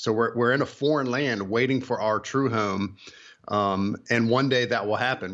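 Here is a man with an ordinary speaking voice. He keeps a moderate pace and fairly even intonation. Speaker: author and illustrator. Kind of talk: radio interview.

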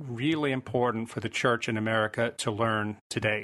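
A man of medium pitch with a plain, everyday voice and ordinary pitch variation, against a quiet background. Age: 50s. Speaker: author. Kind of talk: interview.

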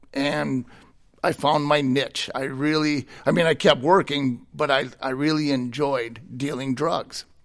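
A man with an American accent and fairly high pitch, a plain, everyday voice, over a quiet background. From Minnesota, US Midwest. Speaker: ministry director, former prisoner. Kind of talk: testimony.

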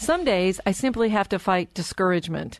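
A woman has an ordinary speaking voice at a medium pitch. She talks at a moderate pace with lively intonation. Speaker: radio show host and relationship doctor. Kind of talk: radio interview chat. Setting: studio.

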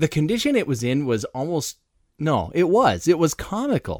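Very wide pitch swings come through on a very clean recording with a silent background and a dry, close sound with no echo. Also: man. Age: 40s. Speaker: podcast co-host, married couple. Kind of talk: casual chat.

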